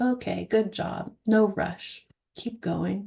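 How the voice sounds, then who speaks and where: This woman's voice carries vocal fry. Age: young. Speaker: hypnosis trainer. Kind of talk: teaching Q&A after live demo. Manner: bubbly, talkative.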